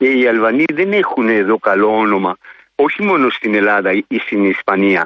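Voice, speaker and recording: A man with an ordinary speaking voice talks at a medium pitch and a moderate pace, with ordinary pitch variation. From Rhodes, Greece. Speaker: caller. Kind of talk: phone-in call.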